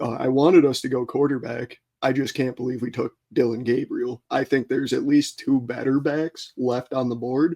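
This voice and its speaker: With an American accent, a man talks at a moderate pace in a dark, mellow tone with fairly even intonation. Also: medium pitch for a man, dry, close sound with no echo. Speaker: sports podcast co-host. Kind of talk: casual sports talk.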